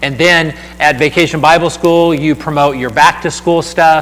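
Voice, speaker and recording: Fairly high male speech amid noticeable background noise. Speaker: church outreach speaker. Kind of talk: seminar talk. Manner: fast.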